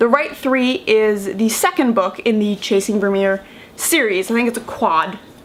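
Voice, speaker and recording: Through noticeable background noise, a woman with an American accent speaks at a moderate pace in a fairly high pitch. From United States. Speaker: book vlogger. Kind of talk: casual vlog talk. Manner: conversational, many fillers.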